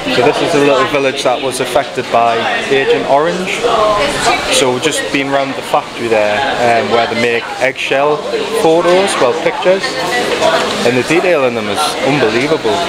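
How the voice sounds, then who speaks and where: Loud background noise surrounds a man who speaks at a moderate pace with ordinary pitch variation and long, frequent pauses. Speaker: travel vlogger. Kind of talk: casual vlog chat. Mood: reflective, slightly uneasy. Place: street. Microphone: phone near.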